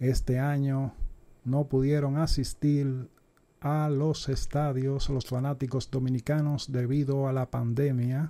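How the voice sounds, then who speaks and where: Very slowly and in a flat monotone, a man speaks with a dark, mellow tone, fairly high pitch and very even loudness. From Dominican Republic. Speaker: YouTube sports channel host doing parody baseball announcer. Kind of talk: parody baseball play-by-play narration, mock broadcaster style. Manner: hushed, whispering so as not to wake his mother. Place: home room.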